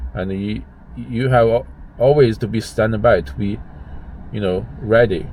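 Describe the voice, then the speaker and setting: Using vocal fry and a fairly low pitch, a man speaks at a fairly slow pace, leaving long, frequent pauses. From China. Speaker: gig driver and vlogger. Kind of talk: casual vlog monologue. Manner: halting, many restarts and fillers.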